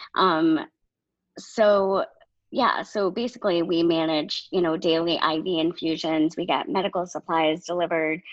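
A woman has an unremarkable speaking voice with an American accent and a fairly low pitch. She speaks at a fairly slow pace with fairly even intonation. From Maine, US. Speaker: podcast co-host, nonprofit social media worker. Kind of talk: casual chat.

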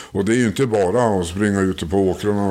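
This man has a dark, mellow tone and a fairly low pitch. His pitch varies in an ordinary way. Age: old. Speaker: retiree, ufo association board member. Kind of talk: interview.

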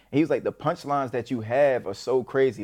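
With an American accent and an unremarkable speaking voice, a man talks at a fairly quick pace and medium pitch against a quiet background. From Maryland, Baltimore area. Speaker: internet comedian and entrepreneur. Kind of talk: casual interview. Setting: in-person studio.

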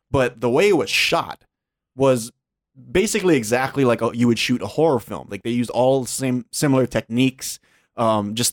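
In an ordinary speaking voice, a man talks at a moderate pace and medium pitch, in a very clean recording with a silent background and a dry, close sound with no echo. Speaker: podcast host. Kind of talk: casual chat.

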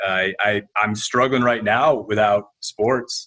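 Speaking at a very slow pace, a man with a Midwestern American accent keeps a fairly low pitch and fairly even intonation. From Ohio, Toledo. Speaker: HR executive. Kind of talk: casual interview.

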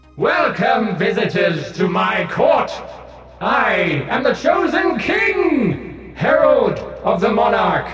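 Shouting in a put-on character voice at an extremely high pitch, a man speaks at a very slow pace with strong echo and clear music in the background. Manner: terrifying, commanding.

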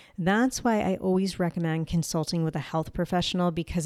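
A woman's upbeat, fairly low voice in a New Jersey accent at a moderate pace, with dry, close sound free of echo and a very clean recording over a silent background. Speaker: health podcast host sharing personal illness journey. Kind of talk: solo podcast monologue. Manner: casual and upbeat.

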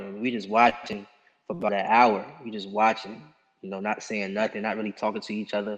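With an American accent, this voice comes through clearly. It moves along at a fairly quick clip. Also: man. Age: 20s. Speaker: amateur boxer. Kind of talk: interview.

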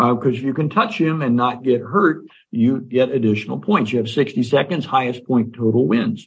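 A somewhat breathy voice with an American accent, moderate pace, hardly any pauses, very even loudness, and ordinary pitch variation. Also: man, medium pitch for a man. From Indiana, US Midwest. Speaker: fair marketing director, former radio broadcaster. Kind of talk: radio interview.

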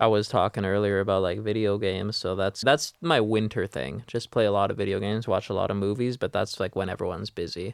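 In an ordinary speaking voice, a man with a Canadian accent speaks at a fairly low pitch, the sound dry and close with no echo on a very clean recording with a silent background. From Vancouver, Canada. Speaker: ICU nurse. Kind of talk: casual chat. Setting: studio.

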